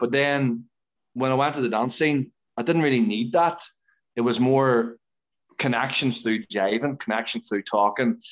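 With an Irish accent, a man speaks at a moderate pace with ordinary pitch variation. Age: 30s. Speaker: dancer and dance teacher. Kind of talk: casual interview chat. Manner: animated.

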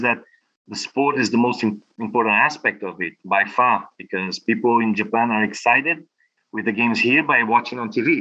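Here a man talks at a medium pitch. He has an ordinary speaking voice. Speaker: sports federation president. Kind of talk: interview. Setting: video call.

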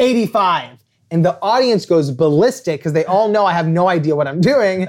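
Animated in tone, a man with an American accent and a high pitch speaks with lively intonation in a very clean recording with a silent background. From Los Angeles, US. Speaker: author. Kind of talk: storytelling interview.

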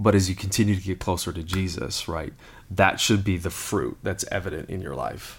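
A man speaks at a moderate pace in a very deep, low voice, somewhat breathy, with ordinary pitch variation and big swings in loudness. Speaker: lead pastor. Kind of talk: casual conversational podcast discussing the Bible.

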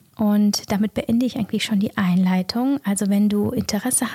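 A woman's medium-pitched, somewhat breathy voice, dark and mellow with a calm, soothing tone, at a fairly slow pace, in a very clean, silent-background recording with a dry, close sound and no echo. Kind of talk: guided meditation. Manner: slow, soft-spoken, calm and soothing with long pauses; gentle, warm, intimate, addressing listener directly as du.

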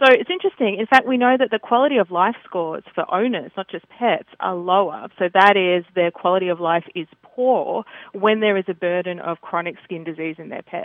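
A woman with an Australian accent at medium pitch, fairly quick and with hardly any pauses, with ordinary pitch variation. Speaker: veterinary dermatologist. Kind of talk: interview.

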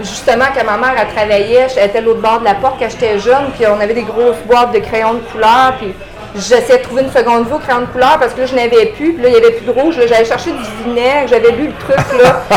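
A woman with a Quebec accent talks at a very fast pace in a high pitch, her intonation fairly even, with room echo and noticeable background noise both audible. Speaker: real estate investor. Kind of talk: interview.

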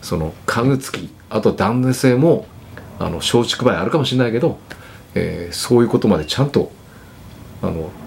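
A man speaks at a moderate pace, his pitch medium. He leaves long, frequent pauses. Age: 60s. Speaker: furniture company president. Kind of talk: casual chat.

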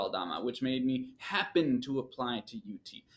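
Using an unremarkable speaking voice, a man talks at a moderate pace and medium pitch with lively intonation. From Michigan, US Midwest. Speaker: PhD student. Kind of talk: interview.

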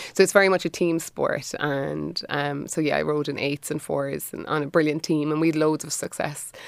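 In a Cork accent, the speaker keeps a moderate pace with hardly any pauses. The intonation stays monotone and flat. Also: woman, very deep, low pitch for a woman. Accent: Cork Irish. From Ireland, Cork. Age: 40s. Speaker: design studio owner. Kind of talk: casual chat.

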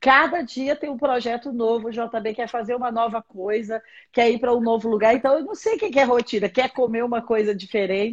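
Using an ordinary speaking voice, a woman talks with fairly even intonation and hardly any pauses. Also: fairly high pitch for a woman. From Minas Gerais, Brazil (Patos de Minas). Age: 40s. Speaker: bishop and pastor. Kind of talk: religious teaching in a live-stream interview. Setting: live stream video call.

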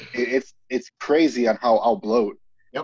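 With a plain, everyday voice at medium pitch, a man speaks at a moderate pace in a dry, close sound with no echo. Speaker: military veteran and former bricklayer. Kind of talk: casual chat.

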